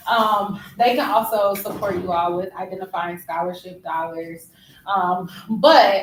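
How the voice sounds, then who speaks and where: Her ordinary speaking voice, medium in pitch with ordinary variation, carries an American accent. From Ohio, Dayton area. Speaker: alumna speaking to students. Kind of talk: casual chat. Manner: relaxed, many fillers.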